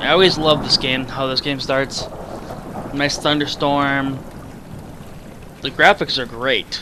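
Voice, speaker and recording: Over noticeable background noise, a man with a fairly high pitch speaks fairly slowly with fairly even intonation and long, frequent pauses. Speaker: gaming youtuber. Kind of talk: let's play commentary.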